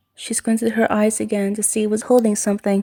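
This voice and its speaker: A woman speaks quietly at a moderate pace, her dark, mellow tone caught in a dry, close sound with no echo. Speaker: amateur fan fiction writer and reader. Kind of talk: read horror story.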